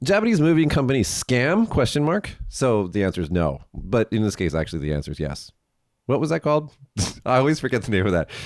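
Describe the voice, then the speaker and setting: With an animated tone and very wide pitch swings, a man at medium pitch talks at a very fast pace. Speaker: podcast host. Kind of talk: casual chat. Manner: casual, animated.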